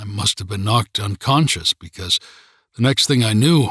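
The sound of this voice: With ordinary pitch variation, an unforced reading voice comes through against a quiet background.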